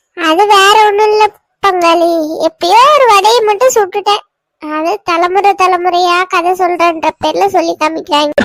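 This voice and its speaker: This cartoonish character voice has an extremely high pitch and moves at a fairly slow pace. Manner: chatty storyteller.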